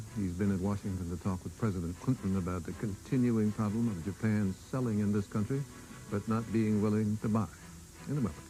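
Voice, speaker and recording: A man's fairly low voice at a fairly quick pace, with ordinary pitch variation and music in the background. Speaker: TV news anchor. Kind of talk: TV news introduction.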